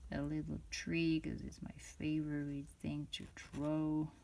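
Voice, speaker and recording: Very slowly, a woman talks in a non-native accent. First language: not English. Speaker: fountain pen reviewer. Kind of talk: product review. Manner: halting, many fillers and restarts.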